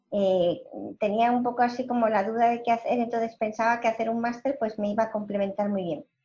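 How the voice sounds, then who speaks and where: A woman's fairly high voice with a dark, mellow tone, fairly quick and fairly even in intonation. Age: 50s. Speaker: entrepreneur and analytics executive. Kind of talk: interview.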